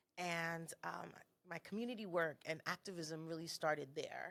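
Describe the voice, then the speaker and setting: In an American accent, a woman with a very deep, low pitch talks with fairly even intonation. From South Florida, Haitian American family. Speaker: cultural consultant. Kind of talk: interview.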